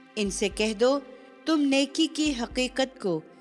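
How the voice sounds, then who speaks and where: Her intonation is lively. A woman talks with music playing behind her. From Pakistan. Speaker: voice artist. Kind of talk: religious scripture translation reading.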